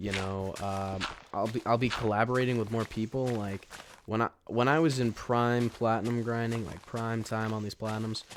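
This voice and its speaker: Against noticeable background noise, a man of medium pitch speaks at a moderate pace with fairly even intonation. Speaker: gaming YouTuber. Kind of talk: gameplay commentary.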